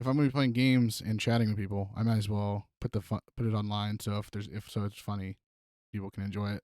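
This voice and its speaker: Soft-spoken yet very fast, a man talks at a fairly low pitch with fairly even intonation, the sound dry and close with no echo on a very clean recording with a silent background. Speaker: podcast host and streamer. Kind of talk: casual chat. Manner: halting.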